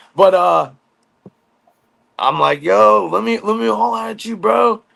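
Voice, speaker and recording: A very slow pace from a male speaker. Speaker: former prisoner. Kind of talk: casual storytelling chat. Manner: loud; lowered voice.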